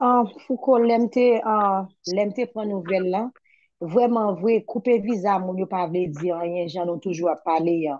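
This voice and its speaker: A woman with an unremarkable speaking voice talks at a fairly slow pace, her medium pitch moving with ordinary variation. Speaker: petition campaigner. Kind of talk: political discussion.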